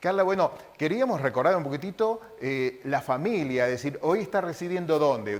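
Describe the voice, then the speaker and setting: Speaking at a moderate pace with hardly any pauses, a man uses a fairly high pitch and very wide pitch swings. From Misiones, Argentina. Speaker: TV interviewer. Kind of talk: interview.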